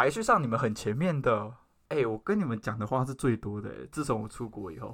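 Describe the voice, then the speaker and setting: On a very clean recording with a silent background, a man with a medium-pitched voice and vocal fry talks at a fairly quick pace, with ordinary pitch variation and big swings in loudness. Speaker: podcast host. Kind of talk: casual chat. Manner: formal, speech-like delivery.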